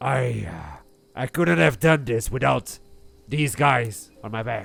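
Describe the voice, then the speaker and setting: In a put-on character voice, the speaker sounds raspy and swings through very wide pitch changes. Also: man. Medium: actual play. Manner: blunt, hesitant.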